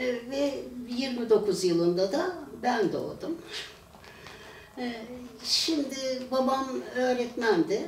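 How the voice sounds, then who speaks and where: Her pace is very slow and her pitch swings very widely as this woman speaks. The recording carries noticeable background noise and audible room echo. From Turkey, Pendik (Istanbul). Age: 80s+. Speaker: retired teacher. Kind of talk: oral history testimony. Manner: halting, many filler sounds.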